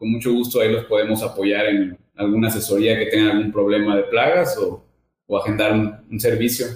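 A man talks fairly quickly at a medium pitch, somewhat breathy. His intonation is monotone and flat, and his loudness stays very even. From Mexico, Veracruz. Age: 30s. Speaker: business owner. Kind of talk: interview.

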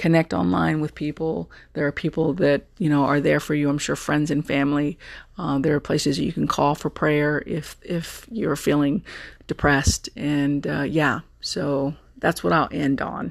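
A woman with an American accent and vocal fry speaks at a moderate pace in a very deep, low voice with lively intonation. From Texas. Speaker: podcast host. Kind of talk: casual solo monologue. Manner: animated.

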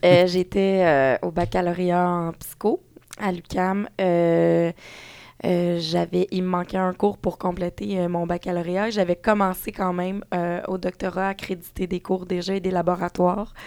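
Speaking at a very slow pace in a Quebec accent, a woman keeps a fairly low pitch and a monotone, flat intonation. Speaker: parenting blogger and author. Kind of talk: casual chat.

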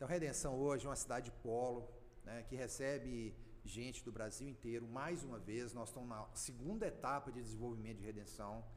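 Speaking at a fairly quick pace in a medium pitch, a man is heard with audible room echo. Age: 50s. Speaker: rural producer and former mayor. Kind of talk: podcast interview. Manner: animated.

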